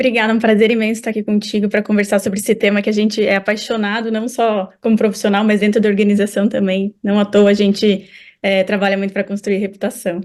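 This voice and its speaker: A woman with a medium pitch and a slight southern Brazilian accent talks at a very fast pace with hardly any pauses. Her intonation is monotone and flat. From southern Brazil, Curitiba. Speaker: marketing executive. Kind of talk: interview.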